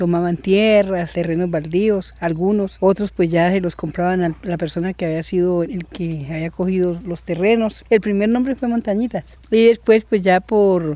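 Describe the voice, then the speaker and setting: This man has a high pitch with a dark, mellow tone, fairly even intonation, a moderate pace and hardly any pauses. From Colombia, Valle del Cauca countryside. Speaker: farmer. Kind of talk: interview testimony.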